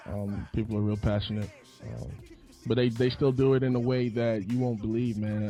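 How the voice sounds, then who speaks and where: Music plays in the background as a man talks at a moderate pace. His medium-pitched voice keeps a fairly even intonation. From US Virgin Islands, moved to Florida at 8-9. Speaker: gospel hip hop artist. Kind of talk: radio interview.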